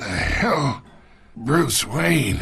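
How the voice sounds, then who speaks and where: Putting on a raspy character voice, a man speaks at a fairly high pitch with very wide pitch swings. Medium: cartoon. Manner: gruff, mocking.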